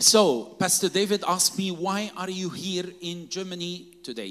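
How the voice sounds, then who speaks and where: A man with a high voice talks over noticeable background noise. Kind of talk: sermon, preached in English in short bursts for consecutive translation. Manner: emphatic, call-and-response, pausing after each phrase for the interpreter.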